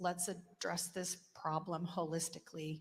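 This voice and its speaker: A woman speaks at a very slow pace. Her voice is fairly low and somewhat breathy. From Greece. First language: Greek. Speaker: state legislator. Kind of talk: floor speech. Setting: legislative chamber. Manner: formal.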